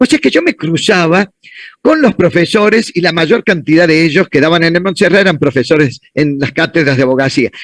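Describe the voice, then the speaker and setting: Lively intonation marks this man's moderate-paced speech, heard dry and close with no echo. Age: 60s. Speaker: law professor. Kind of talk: conference Q&A answering student questions.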